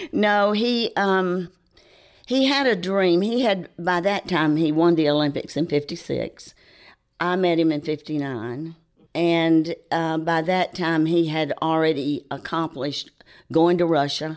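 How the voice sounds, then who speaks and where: With a Southern US accent, a woman speaks at a fairly slow pace and with ordinary pitch variation. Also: very clean recording, silent background. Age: 70s. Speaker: charity co-founder. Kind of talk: interview. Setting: studio.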